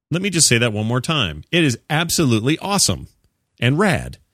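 A man speaks at medium pitch in a bright, sharp tone with vocal fry and very wide pitch swings. The sound is dry and close with no echo, on a very clean recording with a silent background. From Utah. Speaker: video game podcast host. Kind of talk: casual chat.

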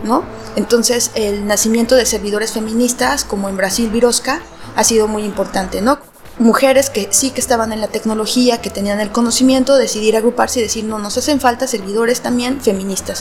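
A woman talks fairly quickly with fairly even intonation while music plays in the background. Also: fairly high pitch for a woman. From Mexico. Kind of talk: interview.

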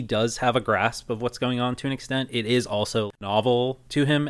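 Speaking at a moderate pace and a medium pitch, a man has a plain, everyday voice on a very clean recording with a silent background. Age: 30s. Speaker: podcast co-host. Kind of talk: casual chat.

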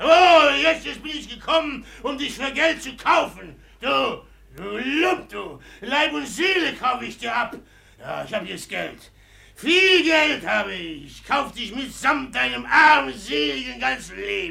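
A man's put-on character voice, extremely high in pitch, with a bright, sharp tone, vocal fry, big pitch swings, a fairly slow pace and audible room echo

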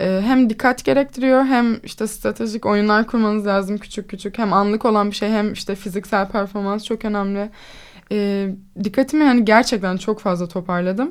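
Keeping a fairly even intonation, a woman talks at medium pitch and a moderate pace. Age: 20s. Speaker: fencer. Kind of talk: interview. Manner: confident.

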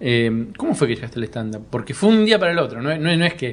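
Speaking at a fairly quick pace, a man talks in a Rioplatense accent. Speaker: comedy podcast host. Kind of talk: casual interview.

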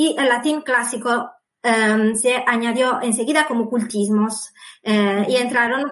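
A woman talks in a fairly high voice at a fairly slow pace. Her intonation stays fairly even. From Sardinia, Italy. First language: Sardinian/Italian (speaking Spanish). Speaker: author. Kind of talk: interview. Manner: halting.

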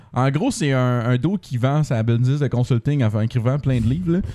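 A man speaks in a dark, mellow tone. His pitch varies an ordinary amount. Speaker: software developer, podcast co-host. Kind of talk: casual chat.

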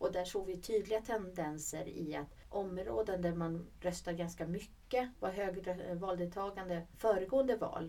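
With a dark, mellow tone and medium pitch, a woman talks at a fairly slow pace with hardly any pauses and ordinary pitch variation. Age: 40s. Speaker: regional politician, podcast co-host. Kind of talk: casual chat. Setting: studio.

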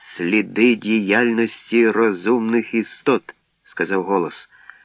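This is plain reading aloud with fairly even intonation. The background stays quiet.

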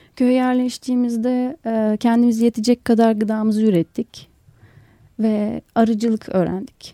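A woman's dark, mellow voice at a fairly high pitch, monotone and flat, with very even loudness and a dry, close sound with no echo. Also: fairly slow pace. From Istanbul, Turkey. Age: 30s. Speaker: doctoral student and new rural settler. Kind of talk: radio interview. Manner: halting.

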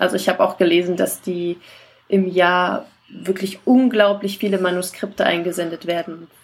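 A woman speaks at a medium pitch. Her intonation is fairly even and her pace moderate. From Saxony-Anhalt, Germany. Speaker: novelist. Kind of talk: casual chat.

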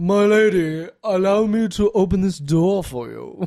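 A man performs a put-on character voice pitched high. He speaks at a fairly slow pace. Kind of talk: posh, courtly, fancy. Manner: polite, deferential.

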